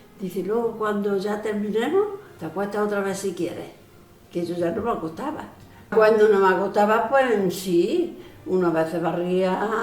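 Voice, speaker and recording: Over background music and audible room echo, a woman talks fairly slowly at medium pitch with ordinary pitch variation. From Andalusia, northern Córdoba province (rural village). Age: 80s+. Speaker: elderly villager sharing memories. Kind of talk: oral history interview. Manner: halting, many false starts and repetitions.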